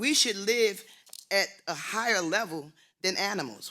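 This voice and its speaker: In a raised, projected voice with an American accent, a man speaks at a moderate pace, his bright, sharp tone carrying lively intonation. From Philadelphia, US. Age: 70s. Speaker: HIV advocate, conference speaker. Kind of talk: motivational talk. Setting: stage with audience. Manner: animated.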